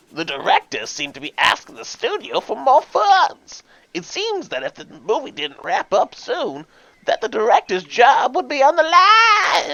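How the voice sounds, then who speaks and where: A put-on character voice speaks at a high pitch. The pace is moderate. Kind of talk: mock-serious mystery acting. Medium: game stream.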